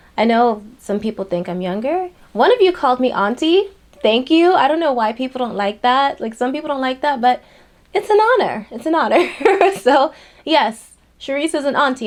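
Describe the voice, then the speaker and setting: A woman speaks at a moderate pace in a high voice with very wide pitch swings. Noticeable background noise sits behind her. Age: 30s. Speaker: lifestyle vlogger. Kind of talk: personal vlog talk to camera. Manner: casual, conversational.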